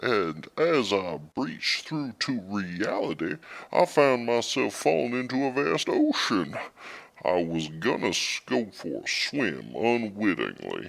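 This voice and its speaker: A man puts on a character voice, pitched fairly low. He speaks at a fairly slow pace. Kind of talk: interview answer. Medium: audio drama.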